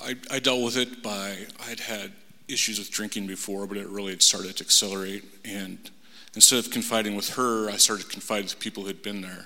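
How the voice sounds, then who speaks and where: A man talks at a fairly quick pace in a fairly low voice with an American accent. His intonation stays monotone and flat. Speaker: salesman. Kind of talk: testimony. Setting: church. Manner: halting.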